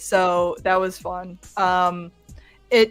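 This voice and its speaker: A woman speaks with a Midwestern accent while music plays in the background. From US Midwest. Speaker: fan film actress. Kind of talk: livestream chat.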